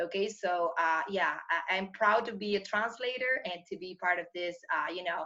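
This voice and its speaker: A woman talks at a moderate pace with a medium pitch. Her tone is bright and sharp, with ordinary pitch variation. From Argentina, Buenos Aires. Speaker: English teacher and translator. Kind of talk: interview. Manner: halting, many fillers.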